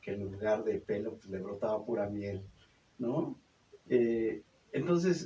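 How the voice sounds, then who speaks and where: A man speaks at a fairly slow pace. His tone is dark and mellow, somewhat breathy. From Mexico, Zumpango, State of Mexico. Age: 60s. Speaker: puppeteer and storyteller. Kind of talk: radio interview. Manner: halting, many fillers.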